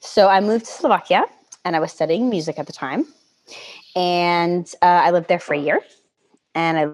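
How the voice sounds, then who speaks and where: Speaking at a moderate pace, a woman uses a fairly low pitch and fairly even intonation. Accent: American. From US Northeast (Connecticut). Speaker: EU public affairs professional. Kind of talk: casual interview chat. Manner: hesitant, many fillers.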